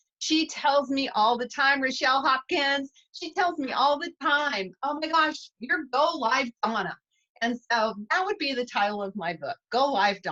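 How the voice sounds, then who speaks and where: A woman with a high pitch and a bright, sharp tone speaks at a fairly slow pace with lively intonation. Her voice is raised and projected, and the sound is dry and close with no echo. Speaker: cosmetics sales director. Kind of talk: interview. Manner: energetic.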